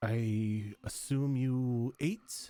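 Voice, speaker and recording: At a medium pitch, a man performs a put-on character voice. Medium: actual play. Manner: gracious, slightly formal.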